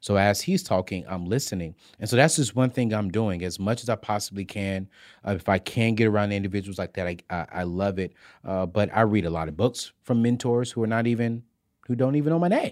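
Over a silent background in a very clean recording, a man moves at a fairly quick pace with ordinary pitch variation. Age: 30s. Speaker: personal finance expert. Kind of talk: casual interview. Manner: loud; high-energy.

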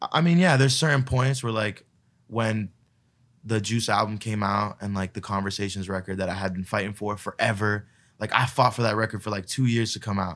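A man with an American accent and a normal speaking voice, ordinary pitch variation, on a very clean recording with a silent background. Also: fairly low pitch for a man, fairly quick pace. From Florida. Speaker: music producer and DJ. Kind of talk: casual chat.

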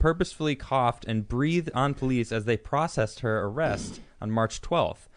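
A man with a plain, everyday voice speaks at a fairly quick pace and medium pitch, his intonation lively over a quiet background. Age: 30s. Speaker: podcast co-host. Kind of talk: casual chat; reading aloud. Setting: studio.

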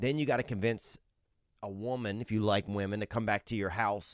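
With an American accent and a plain, everyday voice, a man speaks at a moderate pace and a fairly low pitch in a very clean recording with a silent background. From Colorado. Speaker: comedy podcast co-host. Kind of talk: casual chat.

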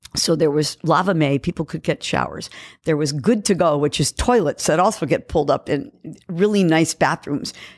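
In a very clean recording with a silent background, a woman speaks with a very deep, low pitch, ordinary pitch variation and a Californian accent, the sound dry and close with no echo. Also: moderate pace. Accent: general American, Californian. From San Francisco Bay Area. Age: 70s. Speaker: musician and band member. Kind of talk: casual interview.

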